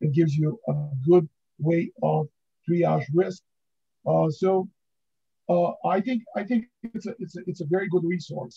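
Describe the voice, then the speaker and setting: Music plays in the background as a man with a high pitch speaks with ordinary pitch variation and long, frequent pauses, recorded dry and close with no echo. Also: fairly slow pace. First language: not English. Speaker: book author, pharmaceutical validation expert. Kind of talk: podcast interview. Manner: halting, many fillers.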